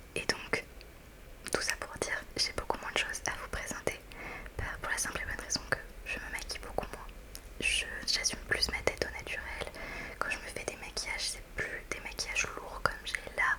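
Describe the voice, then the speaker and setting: A woman whispers in a relaxed tone at a moderate pace. Long, frequent pauses break up her speech, and there is noticeable background noise. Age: 20s. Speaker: ASMR creator. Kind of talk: casual talk to camera, ASMR review. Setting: studio, close microphone. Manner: soft-spoken, relaxed, chatty.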